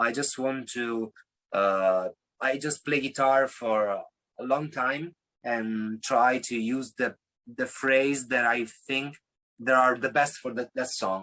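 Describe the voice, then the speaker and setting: Speaking very slowly with an Italian accent, a man uses a medium-pitched, bright and sharp voice with fairly even intonation. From Italy. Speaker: singer-songwriter. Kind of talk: interview. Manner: halting.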